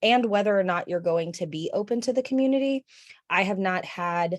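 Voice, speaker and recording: A woman speaks at a moderate pace in a normal speaking voice. Her pitch varies in an ordinary way, and the background is quiet. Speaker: school librarian. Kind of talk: presentation.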